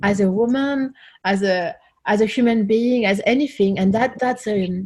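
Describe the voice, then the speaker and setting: Her voice is somewhat breathy and sits fairly high for a woman. The pitch moves in an ordinary way. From France. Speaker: singer-songwriter. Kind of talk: interview.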